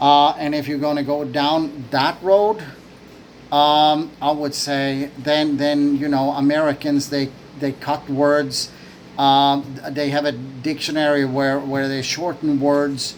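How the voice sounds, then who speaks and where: Over noticeable background noise, a man with a fairly high pitch talks at a very slow pace in a monotone, flat intonation. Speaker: vlogger. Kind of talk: opinion monologue. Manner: hesitant, many fillers and repetitions.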